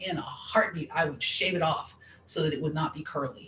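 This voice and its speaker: An animated woman's very deep, low voice at a moderate pace, with noticeable background noise. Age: 40s. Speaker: discrimination advocate. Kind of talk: interview conversation. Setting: Facebook live stream.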